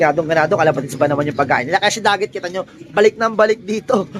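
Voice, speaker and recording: A man's voice with ordinary pitch variation, set against noticeable background noise. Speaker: pigeon hobbyist vlogger. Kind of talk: casual vlog narration. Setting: outdoors. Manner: animated; loud.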